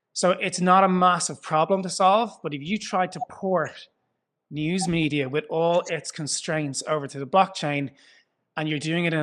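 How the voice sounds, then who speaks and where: Fairly high in pitch, a man speaks in an Irish accent at a moderate pace. His intonation is fairly even, and the background is quiet. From Ireland. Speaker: foundation founder. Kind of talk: interview. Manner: conversational, some hesitations.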